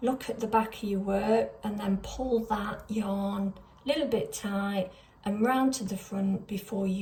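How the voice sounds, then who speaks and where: Fairly slow delivery with ordinary pitch variation against noticeable background noise. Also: woman. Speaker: crochet pattern designer. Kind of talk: tutorial.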